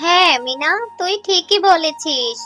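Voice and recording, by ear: In a cartoonish character voice with a bright, sharp tone, the speaker moves at a fairly slow pace with ordinary pitch variation while faint music plays behind.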